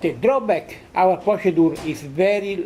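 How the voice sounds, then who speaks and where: Each word comes at a very slow pace. The speaker has an Italian accent. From Italy. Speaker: physicist. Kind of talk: conference lecture. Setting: conference hall with audience. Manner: halting, many hesitations.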